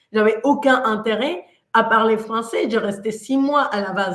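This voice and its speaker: At a moderate pace, a woman talks with a Mexican accent and ordinary pitch variation. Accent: Mexican Spanish accent in French, noticeable. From Mexico. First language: Spanish (speaking French). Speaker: coach. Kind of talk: motivational talk. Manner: animated.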